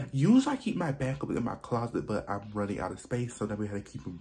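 The pace is fairly quick. The speaker is a man. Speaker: fragrance vlogger. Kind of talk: casual vlog chat. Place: home room. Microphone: phone near.

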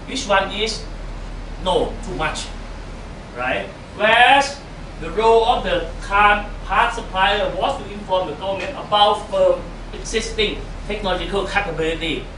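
A man with a Thai accent speaks in a raised, projected voice at a high pitch, with ordinary pitch variation, big swings in loudness, a moderate pace and long, frequent pauses. There is audible room echo and light background noise. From Thailand. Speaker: economics professor. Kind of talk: lecture. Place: meeting room. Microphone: camera far.

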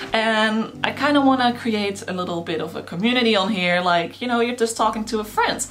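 A woman's fairly high-pitched voice with lively intonation, faint music in the background. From Netherlands. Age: 20s. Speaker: YouTuber. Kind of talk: casual talk to camera. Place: home room.

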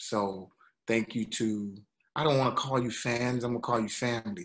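A man talks at a fairly slow pace. Light background noise can be heard. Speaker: actor and singer. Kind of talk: interview. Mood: grateful, earnest. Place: home room. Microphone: video call.

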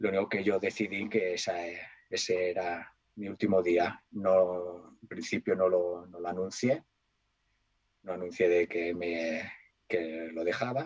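Against a quiet background, a man speaks in a very deep, low pitch at a fairly slow pace, with fairly even intonation, big swings in loudness and long, frequent pauses. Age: 40s. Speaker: DJ and cook; DJ. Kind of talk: casual interview; interview answer. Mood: nostalgic storytelling.

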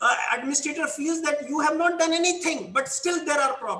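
Audible room echo fills the space. Within it, a man's voice sits at a high pitch. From rural India. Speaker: college principal; panelist. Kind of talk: panel discussion. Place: office. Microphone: video call.

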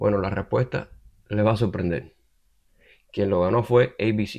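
A man speaks with a fairly low pitch. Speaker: political commentary YouTuber. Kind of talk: opinion monologue. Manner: halting, many fillers.

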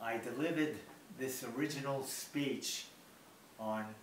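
Over light background noise and audible room echo, a man with an American accent speaks at a very slow pace, his medium pitch showing ordinary variation. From Bronx, New York. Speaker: birthday celebrant. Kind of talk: personal speech reading. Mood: warm, reflective. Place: home room.

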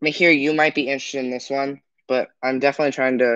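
Against a quiet background, a man speaks in a monotone, flat delivery. The sound is dry, with no echo. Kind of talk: casual livestream chat. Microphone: phone near.

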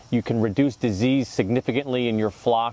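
The speech comes at a moderate pace with a dry sound and no echo. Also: man. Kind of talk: tutorial. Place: garden. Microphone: lapel.

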